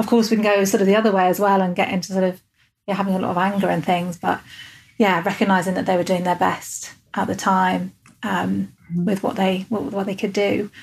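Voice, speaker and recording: A woman with an English accent, medium pitch and vocal fry, speaking at a fairly quick pace in a monotone, flat intonation. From England. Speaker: podcast host, coach and hypnotherapist. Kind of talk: interview. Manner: calm measured cadence.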